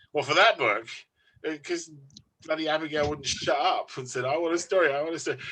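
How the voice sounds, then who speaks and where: In a London accent, a man talks at a fairly quick pace with a fairly high pitch and ordinary pitch variation. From London, England. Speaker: author. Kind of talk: interview. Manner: casual, rambling with fillers.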